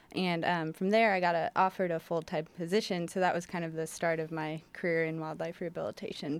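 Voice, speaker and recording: This woman's pitch sits fairly low. She talks at a very fast pace. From Portland, Oregon. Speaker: wildlife rehabilitation coordinator. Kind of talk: radio interview. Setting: studio.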